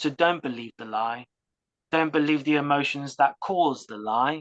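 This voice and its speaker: A woman's very deep, low voice in a British accent at a moderate pace, dry and close with no echo and a quiet background. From UK. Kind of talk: interview testimony.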